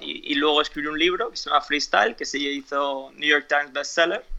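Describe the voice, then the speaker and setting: A fairly high-pitched man at a fairly quick pace. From Spain (Alicante), after early years in US and Ecuador. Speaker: fitness coach and author. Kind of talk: interview. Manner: halting, with frequent repetitions and fillers.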